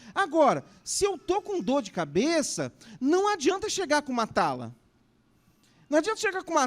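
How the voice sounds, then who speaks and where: A man talking at a moderate pace on a very clean recording with a silent background. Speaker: pastor. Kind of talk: conference talk.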